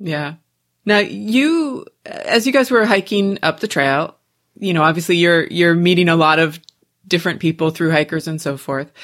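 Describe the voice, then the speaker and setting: Recorded very cleanly against a silent background, a woman with an unremarkable speaking voice talks at a moderate pace and fairly low pitch with lively intonation. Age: 40s. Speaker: podcast host. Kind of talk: casual interview chat.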